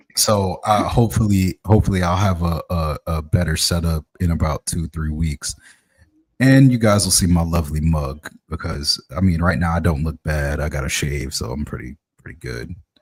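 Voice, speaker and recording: The sound is dry and close with no echo. A man with a very deep, low pitch speaks at a moderate pace, somewhat breathy, with ordinary pitch variation. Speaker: podcast host. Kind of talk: casual chat. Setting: live stream. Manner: sluggish.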